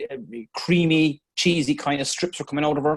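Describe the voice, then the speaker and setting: A man with an Irish accent. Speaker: dairy farmer. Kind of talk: explaining a case on a video call. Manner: halting, many fillers.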